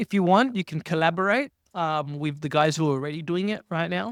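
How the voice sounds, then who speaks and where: A loud man with a high pitch talks at a fairly quick pace with lively intonation. The sound is dry and close with no echo, on a very clean recording with a silent background. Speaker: jiu-jitsu competitor. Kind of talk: casual chat. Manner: animated.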